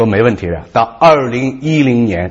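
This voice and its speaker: Speaking at a moderate pace, a man sounds somewhat breathy. His intonation is lively and his tone animated. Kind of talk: talk show discussion.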